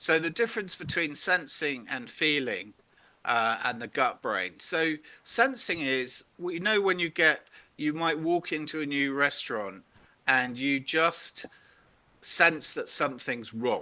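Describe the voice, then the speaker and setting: Against a quiet background, a man with a fairly high pitch talks at a fairly slow pace, his tone bright and sharp and his intonation lively. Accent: British. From Britain. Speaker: purpose workshop facilitator. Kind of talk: interactive online workshop.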